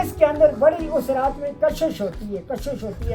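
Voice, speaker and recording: With music in the background, a woman speaks at a high pitch with lively intonation. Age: old. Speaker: local storyteller. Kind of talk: folk legend storytelling.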